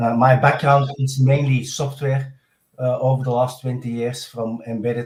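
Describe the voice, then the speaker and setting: With a strong Belgian accent, a man talks in a somewhat breathy medium-pitched voice and fairly even intonation. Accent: Belgian, strong by own account. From Belgium. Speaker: software architect. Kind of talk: podcast interview.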